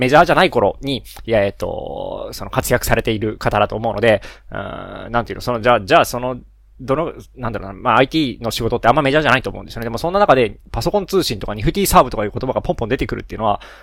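On a very clean recording with a silent background, a man of medium pitch talks at a very fast pace with lively intonation. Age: 30s. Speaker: solo podcaster, engineer and parent. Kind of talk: casual solo monologue. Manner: many fillers and self-corrections.

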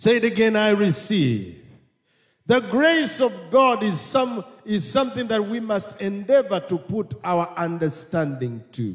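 An animated tone with lively intonation at a fairly slow pace. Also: man, high pitch for a man. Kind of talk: sermon. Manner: animated, call-and-response, urging the congregation to repeat 'amen' and 'I receive'; earnest, repetitive, rising into praise with 'hallelujah' interjections.

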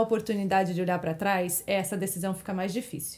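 A woman speaks in a plain, everyday voice at medium pitch and a fairly quick pace. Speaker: interior designer. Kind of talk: testimony.

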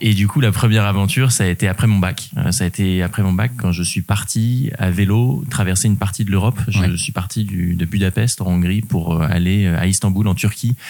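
The speaker's pitch varies in an ordinary way. The pace is moderate. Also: man. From Normandy, France (Rouen). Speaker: adventurer and public speaker. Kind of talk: interview conversation. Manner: hesitant, frequent fillers and repetitions.

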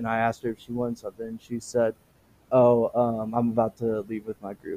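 A man's medium-pitched voice, dark and mellow in tone, with monotone, flat intonation and a dry, close sound with no echo. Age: 20s. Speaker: podcast host. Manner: halting, many fillers.

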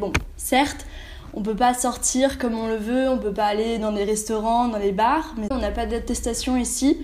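Against noticeable background noise and audible room echo, a woman talks at a moderate pace with a fairly high pitch and fairly even intonation. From Austria. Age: 20s. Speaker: exchange student. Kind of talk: casual interview.

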